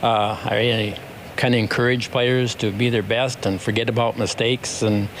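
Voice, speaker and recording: Noticeable background noise sits behind a man's voice. He speaks at a medium pitch with flat, monotone intonation. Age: 70s. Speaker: basketball coach. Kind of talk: interview.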